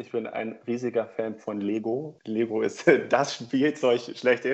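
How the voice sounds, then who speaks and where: A man speaks at a very slow pace, his medium-pitched voice keeping fairly even intonation. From northern Germany, Oldenburg. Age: 20s. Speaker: corporate team leader. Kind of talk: interview.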